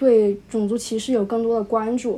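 The woman's dark, mellow voice sits at a fairly high pitch and stays monotone and flat throughout. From Wuhan, China. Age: young. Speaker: high school graduate. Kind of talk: casual interview. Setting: remote call. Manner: hesitant, many fillers.

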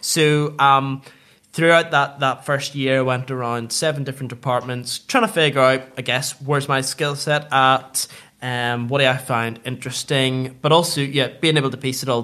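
A man speaks with a Northern Irish accent at a moderate pace. His medium-pitched voice has a bright, sharp tone. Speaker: food retail businessman. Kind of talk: interview.

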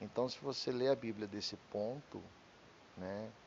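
Fairly low pitch and fairly even intonation in a man's voice. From Brazil, Curitiba. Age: 40s. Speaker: podcaster. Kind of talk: personal monologue. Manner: halting, losing thread.

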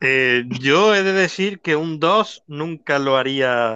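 With a bright, sharp tone, a man speaks with ordinary pitch variation. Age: 20s. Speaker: dating show contestant. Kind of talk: casual chat. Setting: online live audio room.

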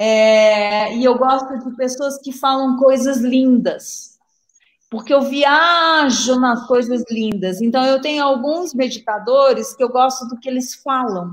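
In a Minas Gerais accent, a woman with a high pitch talks at a very slow pace with fairly even intonation. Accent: Minas Gerais Brazilian Portuguese. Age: 60s. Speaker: psychiatrist and meditation author. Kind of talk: live interview. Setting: live video stream.

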